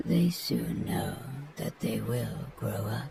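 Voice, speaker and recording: A man uses a put-on character voice at a very slow pace. Clear background noise sits behind him. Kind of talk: bedtime story reading. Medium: read story. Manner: measured, tranquil.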